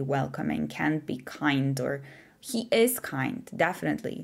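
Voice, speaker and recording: Woman with a non-native accent on a very clean recording with a silent background. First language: not English. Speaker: tarot reader. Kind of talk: pick-a-card tarot reading to camera.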